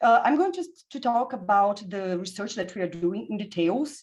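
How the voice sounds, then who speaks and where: At a fairly quick pace, the speech swings very widely in pitch. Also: woman. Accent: strong Brazilian. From Brazil. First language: Portuguese. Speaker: physicist and physics education researcher. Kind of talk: conference presentation. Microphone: unreliable internet connection.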